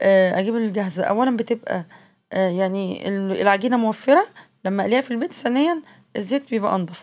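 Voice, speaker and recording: A woman with an Egyptian accent speaks at a fairly quick pace. Her pitch sits at a medium level, with ordinary variation. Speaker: cooking vlogger. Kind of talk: casual vlog narration.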